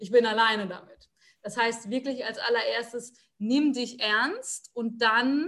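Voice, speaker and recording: Somewhat breathy and fairly high-pitched, a woman talks at a fairly slow pace with ordinary pitch variation. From Palatinate, Germany. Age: 20s. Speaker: psychology student and motivation coach. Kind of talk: interview.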